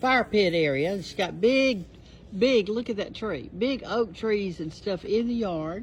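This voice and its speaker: A woman with a Southern US accent at a medium pitch, with lively intonation and a fairly slow pace. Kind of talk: casual talk to camera.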